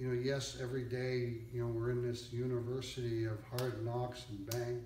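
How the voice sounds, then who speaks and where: A man with a medium pitch talks at a moderate pace in a monotone, flat intonation. Audible room echo and noticeable background noise are present. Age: 60s. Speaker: used car dealer, business owner. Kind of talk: interview, motivational advice.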